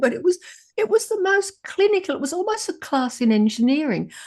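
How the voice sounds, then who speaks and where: In an Australian accent, a woman talks at a very fast pace. Her pitch swings very widely. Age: 70s. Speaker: moderator, journalist. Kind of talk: panel discussion. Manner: halting.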